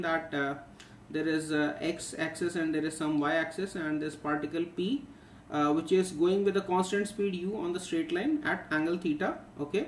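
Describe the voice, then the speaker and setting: A man talks at a fairly quick pace, with light background noise and audible room echo. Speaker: physics teacher. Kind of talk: tutorial. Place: home room. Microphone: webcam.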